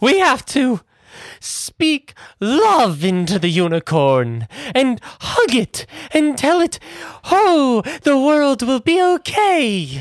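A put-on character voice, high-pitched with very wide pitch swings, speaks at a very slow pace in a very clean recording with a silent background. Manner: cheerful, conspiratorial.

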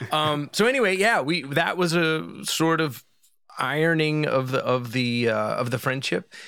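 With an American accent, a man speaks at a fairly high pitch and a fairly slow pace, his tone bright and sharp, his intonation lively and his loudness very even. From Philadelphia, US. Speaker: musician. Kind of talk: casual chat.

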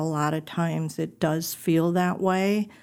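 The speaker talks at a very slow pace with an American accent. The intonation stays fairly even. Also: woman. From Wisconsin, suburb of Milwaukee. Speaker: women's ministry leader. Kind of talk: personal testimony in interview.

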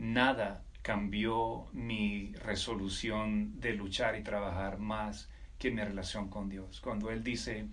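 A man talks with vocal fry. Audible room echo surrounds his voice. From Colombia, Caribbean coast (Riohacha, La Guajira). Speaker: military officer and entrepreneur. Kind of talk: interview conversation.

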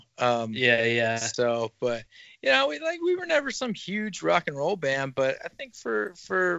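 A man is talking. He has a Southern US accent. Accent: US South. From northwest Arkansas. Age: 30s. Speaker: merch business owner, former rock musician. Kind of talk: casual chat. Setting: at home.

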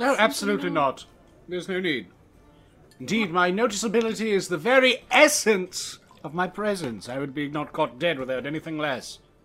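At a fairly quick pace and a middle pitch, the speaker performs a put-on character voice. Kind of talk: comic fantasy roleplay. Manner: pompous, vain, theatrical.

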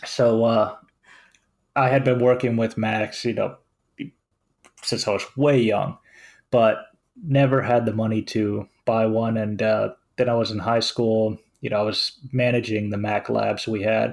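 Using a monotone, flat intonation, a man with a Finnish accent speaks at a fairly slow pace with long, frequent pauses. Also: medium pitch for a man. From Finland. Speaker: web developer and podcast host. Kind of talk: casual chat.

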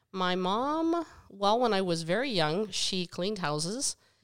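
Speaking in an ordinary speaking voice, a woman has an American accent and a medium pitch. She talks at a fairly slow pace with lively intonation. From western Pennsylvania, US. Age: 50s. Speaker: podcast co-host, mother of the other co-host. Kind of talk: casual chat.

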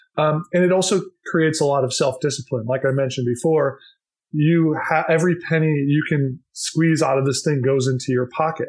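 At a fairly quick pace, a man speaks in a somewhat breathy voice with fairly even intonation and very even loudness, in a very clean recording with a silent background. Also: fairly high pitch for a man. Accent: American. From Minnesota, US Midwest. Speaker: company founder. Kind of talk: interview.

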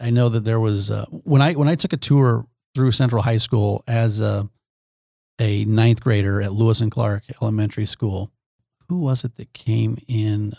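With an American accent, a man with a fairly low pitch and a dark, mellow, somewhat breathy tone talks at a moderate pace with ordinary pitch variation, the sound dry and close with no echo. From Nebraska, Omaha. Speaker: businessman and former TV host. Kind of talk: casual interview.

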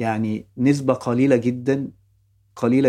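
This man's medium-pitched voice has a dark, mellow tone and a flat, monotone intonation. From Egypt, Ibshaway, Fayoum. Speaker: TV and film director. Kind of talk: personal storytelling interview.

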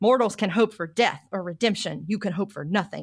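Very clean, with a silent background, this recording has a woman speaking in a plain, everyday voice with an American accent. Her pitch is medium, her pitch variation ordinary and her pace moderate. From US South. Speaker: podcast host, researcher. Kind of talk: casual book discussion.

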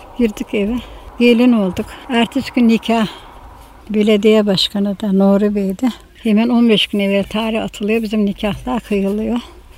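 Over noticeable background noise, a woman speaks at a moderate pace in a fairly high voice with fairly even intonation. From Bozcaada, Turkey. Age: 90s. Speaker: elderly islander sharing memories. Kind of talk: oral history interview. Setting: outdoors in a vineyard garden near the sea.

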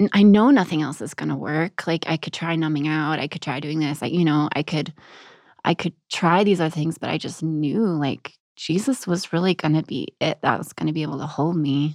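A woman's very deep, low voice with an American accent and ordinary pitch variation, dry and close with no echo, in a very clean recording with a silent background. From Texas. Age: young. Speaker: author and military widow. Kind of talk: interview about grief and faith. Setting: studio.

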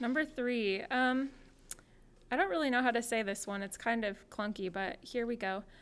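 A woman with a West Coast accent speaks at a moderate pace. Her pitch is fairly high, with ordinary variation. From Portland, Oregon. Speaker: church member and guest. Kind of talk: casual chat.

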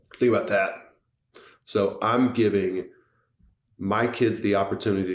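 Moderate pace in an American accent, with audible room echo. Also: man. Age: 40s. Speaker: tech company co-founder. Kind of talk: podcast interview.

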